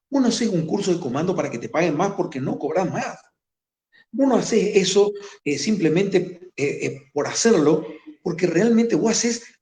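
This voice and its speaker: With a dark, mellow tone and lively intonation, the voice moves at a moderate pace amid audible room echo. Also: man. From Formosa, northern Argentina. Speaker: war veteran, gendarmerie commander. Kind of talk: interview.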